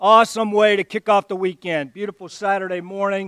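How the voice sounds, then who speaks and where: A man with an Alabama accent, dry and close with no echo, in a very clean recording against a silent background. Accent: US Southern (Alabama). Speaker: army general, guest speaker. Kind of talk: ceremonial speech. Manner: slow.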